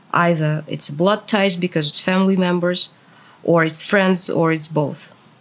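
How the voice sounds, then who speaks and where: A woman with a fairly low pitch speaks in monotone, flat intonation. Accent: Russian. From Russia. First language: Russian. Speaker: translator, former anti-war protester. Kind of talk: interview.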